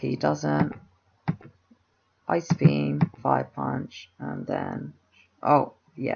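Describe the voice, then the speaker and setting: At a very slow pace, a man speaks with big swings in loudness and long, frequent pauses. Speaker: video game commentator. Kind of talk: live gameplay commentary. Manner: halting, with stutters and fillers; casual.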